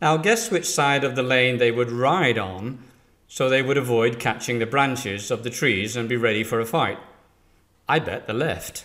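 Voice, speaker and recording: A man speaks with an English accent. His voice sits at a medium pitch. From England. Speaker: business trainer. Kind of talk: scripted presentation.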